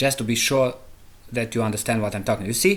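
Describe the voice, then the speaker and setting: This recording is very clean, and its background is silent. The speaker is a man. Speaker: programming tutorial creator. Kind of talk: tutorial. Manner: halting.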